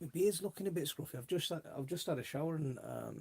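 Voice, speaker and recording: A man's somewhat breathy voice with a dark, mellow tone moves at a fairly quick pace with ordinary pitch variation. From South Wales. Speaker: allotment gardening YouTuber. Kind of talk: casual livestream chat. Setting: home livestream on laptop. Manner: casual, hesitant with fillers.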